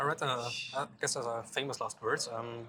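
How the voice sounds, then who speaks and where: With a German accent, a man speaks in a medium pitch at a moderate pace. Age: 30s. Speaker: music interviewer. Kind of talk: interview. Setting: music festival. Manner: halting.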